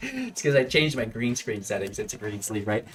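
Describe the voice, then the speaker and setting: With music in the background, the man's voice holds a medium pitch. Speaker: gaming YouTuber. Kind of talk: gameplay commentary. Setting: home recording with green screen. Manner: mumbling.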